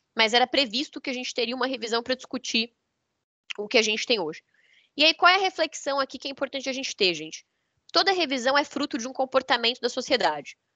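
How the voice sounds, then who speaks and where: Speaking very fast in a raised, projected voice, a woman with a high pitch and a bright, sharp tone swings very widely in pitch and loudness, recorded with a dry, close sound and no echo. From southern Brazil. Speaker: energy sector consultant and lawyer. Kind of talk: lecture.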